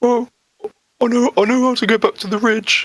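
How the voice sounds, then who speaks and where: A man's put-on character voice, extremely high in pitch with ordinary pitch variation, at a moderate pace, in a dry, close sound with no echo. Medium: actual play. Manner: vague, hesitant.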